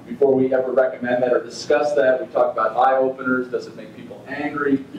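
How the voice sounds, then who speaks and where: A man's fairly quick, fairly even-toned speech, with light background noise and audible room echo. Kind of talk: lecture. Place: meeting room.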